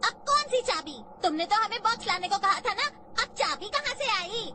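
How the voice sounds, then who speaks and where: In a put-on character voice with an extremely high pitch, the speaker moves at a fairly quick pace over light background noise. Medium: fan dub. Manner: excitable.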